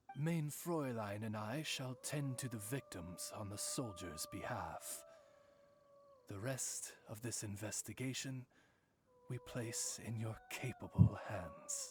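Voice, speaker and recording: Putting on a character voice, a man speaks at a fairly slow pace with a medium pitch. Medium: video game. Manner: formal, eloquent.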